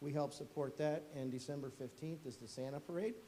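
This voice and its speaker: A man's voice comes with audible room echo. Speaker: fire chief. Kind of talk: presentation to council. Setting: council meeting room. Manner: fast.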